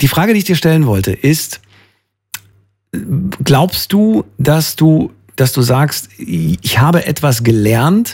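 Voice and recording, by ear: Slow and fairly high in pitch, this man's voice has a slightly mellow tone, a slightly husky edge, and big pitch swings.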